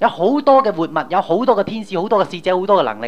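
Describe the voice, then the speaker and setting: Talking very fast, a man uses vocal fry and very wide pitch swings. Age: young. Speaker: pastor. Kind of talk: sermon. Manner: animated.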